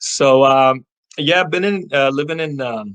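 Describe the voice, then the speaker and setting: The speaker is a man at a moderate pace. He has an American accent. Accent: American, kept after moving to UK. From US Midwest, Chicago. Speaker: finance business owner and YouTuber. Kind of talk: interview.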